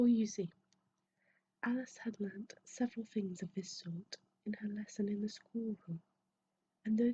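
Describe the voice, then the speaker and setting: A soft-spoken woman whispers at a moderate pace. Her voice is somewhat breathy. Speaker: ASMR creator. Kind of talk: soft-spoken ASMR book reading. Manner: soft-spoken, whispery, relaxing.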